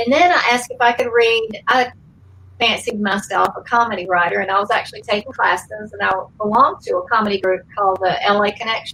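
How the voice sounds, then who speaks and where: A woman's fairly high, bright, sharp voice with a Georgia accent, at a very fast pace with ordinary pitch variation. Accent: Southern (Georgia). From Georgia, US South. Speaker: former actress and pageant contestant. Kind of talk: interview storytelling. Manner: hesitant, many fillers.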